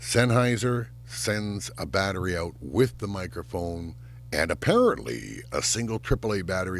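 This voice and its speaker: A man's very deep, low, rumbling voice with vocal fry, at a moderate pace and with very wide pitch swings. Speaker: YouTuber reviewing gear. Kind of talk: product review. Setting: home sound booth. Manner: casual, conversational. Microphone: recorded on studio microphone and camera shotgun mic.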